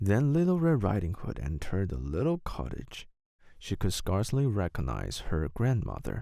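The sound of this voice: On a very clean recording with a silent background, a man speaks at a moderate pace in a low pitch, his dark, mellow tone carrying vocal fry and very wide pitch swings.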